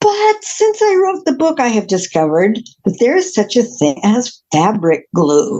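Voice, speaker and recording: A woman's somewhat breathy, fairly high voice with a dark, mellow tone, very wide pitch swings, a fairly slow pace, very even loudness and hardly any pauses. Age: 70s. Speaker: author and witch, podcast guest. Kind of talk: interview.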